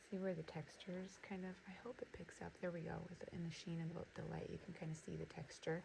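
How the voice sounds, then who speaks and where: A soft-spoken woman at a very fast pace. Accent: American. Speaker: notebook designer and small business owner. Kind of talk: casual crafting demo. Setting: home studio. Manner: soft-spoken, keeping voice down.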